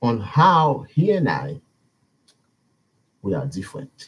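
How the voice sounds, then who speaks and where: A man speaks at a fairly slow pace with vocal fry, his pitch swinging very widely. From Haiti. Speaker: YouTuber, social commentator. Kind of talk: live video commentary. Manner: halting.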